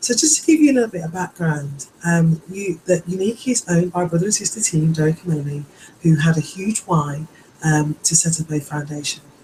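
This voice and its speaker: Against noticeable background noise, a woman speaks at a fairly low pitch with a British accent. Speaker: direct sales presenter. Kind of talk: sales pitch. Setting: live webinar recording. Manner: hesitant, many fillers.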